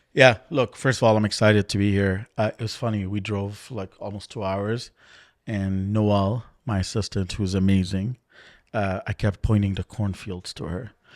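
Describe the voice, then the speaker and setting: A man speaks with an African accent at a fairly low pitch. The recording is very clean with a silent background and a dry, close sound with no echo. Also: moderate pace. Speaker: mortgage executive. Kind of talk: interview conversation. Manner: animated.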